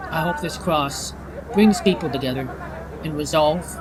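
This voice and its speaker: A man with a fairly high pitch speaks at a moderate pace. Audible room echo and crowd noise can be heard in the background. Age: 50s. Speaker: vlogger. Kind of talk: personal vlog monologue.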